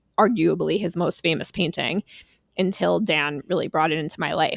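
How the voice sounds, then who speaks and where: An animated woman's voice with vocal fry, at a moderate pace, in a dry, close sound with no echo. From New York, Long Island. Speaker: podcast host. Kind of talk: casual chat.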